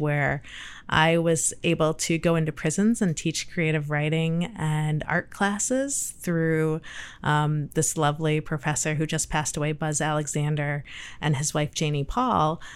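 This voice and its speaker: A woman speaks at a fairly slow pace in a very deep, low voice. The recording is very clean, with a silent background. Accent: Midwestern American. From Michigan, US Midwest. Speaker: urban planning agency director. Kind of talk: interview.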